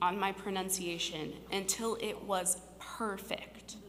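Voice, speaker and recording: There is audible room echo as a woman speaks with a Midwestern US accent. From Cincinnati, Ohio (west side). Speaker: storyteller. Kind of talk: personal storytelling on stage.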